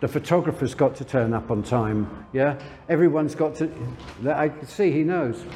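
Noticeable background noise runs under this recording. The man's voice is fairly high in pitch. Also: ordinary pitch variation, moderate pace. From London, England. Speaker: lingerie brand owner. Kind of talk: interview.

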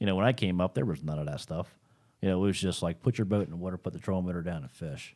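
The voice is dark and mellow, with an American accent and ordinary pitch variation. It moves at a very fast pace on a very clean recording with a silent background. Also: man, very deep, low pitch for a man. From South Jersey, US. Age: 30s. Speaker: professional bass angler and fishing guide. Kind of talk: casual interview. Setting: studio.

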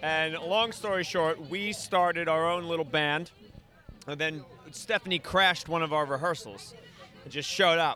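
A man with a New York accent speaks at a moderate pace. His pitch is high, with ordinary variation. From Staten Island, New York. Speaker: band musician. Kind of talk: casual interview. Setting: live event at a bar.

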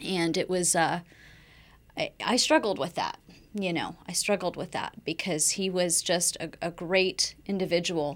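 A woman talks fairly slowly in a plain, everyday voice. Her pitch is fairly low and her intonation fairly even. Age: 40s. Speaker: breast cancer survivor. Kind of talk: interview.

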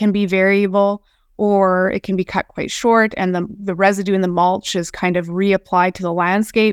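With a Canadian Prairies accent, a woman speaks at a moderate pace and medium pitch in a dry, close sound with no echo. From southern Alberta, Canada. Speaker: research scientist. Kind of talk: webinar presentation. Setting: webinar recording.

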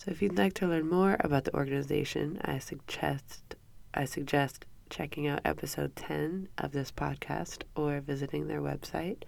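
Her voice is low for a woman, nasal and slightly mellow in tone, with vocal fry.

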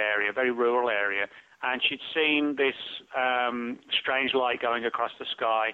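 A man speaks with a British accent at a medium pitch. His pace is moderate and his intonation fairly even. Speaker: author. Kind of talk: interview.

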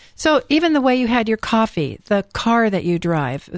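Someone with an American accent and an unremarkable speaking voice talks at a fairly quick pace. The background is quiet. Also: woman. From California. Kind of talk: radio interview.

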